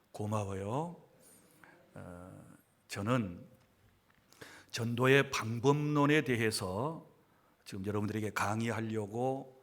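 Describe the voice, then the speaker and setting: Very slow speech from a man at medium pitch, with ordinary pitch variation and audible room echo. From South Jeolla, Sinan County. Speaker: pastor. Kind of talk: lecture.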